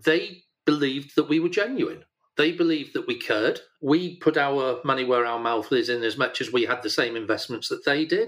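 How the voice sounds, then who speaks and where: A man with a Yorkshire accent, fairly high in pitch, at a moderate pace with ordinary pitch variation. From Yorkshire, northern England. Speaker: retired business leader and charity organiser. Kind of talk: interview.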